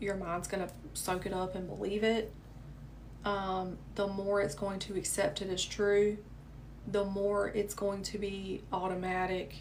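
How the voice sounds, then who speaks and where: With a Southern US accent, a woman speaks at medium pitch in a monotone, flat delivery at a fairly slow pace, with audible room echo. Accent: southern American. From US South. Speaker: manifestation coach. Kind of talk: live stream chat. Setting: livestream. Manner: casual, chatty.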